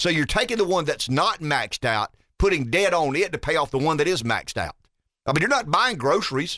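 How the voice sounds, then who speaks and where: A man with a Southern US accent speaks at a fairly quick pace in a fairly high pitch, his bright, sharp tone carrying lively intonation at a very even loudness. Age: 50s. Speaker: radio talk show host. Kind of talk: talk radio. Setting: studio.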